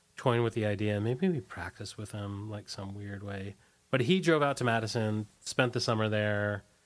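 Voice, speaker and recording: In an American accent, a man with an ordinary speaking voice talks at a moderate pace and medium pitch. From US, Washington D.C. area. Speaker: former punk band singer. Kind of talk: casual interview. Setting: radio studio.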